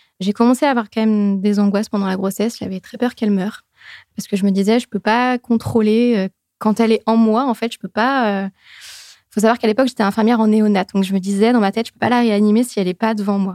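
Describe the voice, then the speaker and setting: A woman speaks at a very fast pace with a fairly high pitch, a dark, mellow tone and monotone, flat intonation. The recording is very clean with a silent background and a dry, close sound with no echo. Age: 30s. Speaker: perinatal consultant and former nurse. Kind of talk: testimony.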